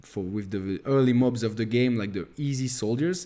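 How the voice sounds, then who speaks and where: A man speaks with a French accent against a quiet background. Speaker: gaming youtuber. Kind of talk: gameplay tutorial. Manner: halting, many fillers.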